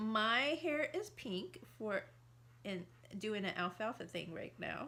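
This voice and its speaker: The speech is loud and very slow. Its tone is bright and sharp, with lively intonation. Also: woman, fairly high pitch for a woman. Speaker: married couple video host. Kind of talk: casual chat.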